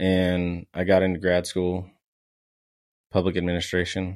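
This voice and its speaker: A man with an American accent has a very deep, low pitch. He talks at a fairly slow pace with flat, monotone intonation. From San Antonio, Texas. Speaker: guest, former college baseball player, marketing/content. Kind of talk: casual interview chat.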